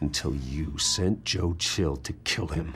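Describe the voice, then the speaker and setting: Against clear background noise, a man growls in a put-on character voice at a fairly slow pace. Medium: video game. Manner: cold, terse.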